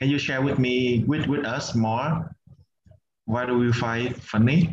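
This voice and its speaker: A man is speaking. He has a Vietnamese accent. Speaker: meditation and English community facilitator. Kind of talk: online group workshop facilitation.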